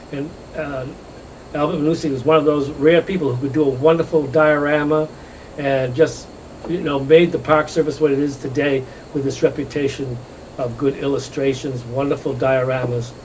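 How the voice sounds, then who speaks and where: With a New England accent, a man talks in a flat monotone at a fairly high pitch, with noticeable noise behind him. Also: moderate pace. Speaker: architect and gallery owner. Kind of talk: interview. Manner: halting.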